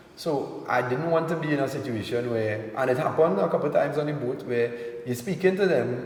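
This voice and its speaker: With a Trinidadian accent, a man speaks at a fairly quick pace in a medium pitch with ordinary pitch variation, against audible room echo and noticeable background noise. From Trinidad and Tobago. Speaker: entertainer, reality TV personality. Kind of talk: interview.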